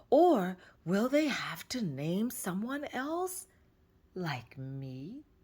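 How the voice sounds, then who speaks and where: A put-on character voice with a fairly high pitch moves at a very slow pace through very wide pitch swings. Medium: read story. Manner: boastful.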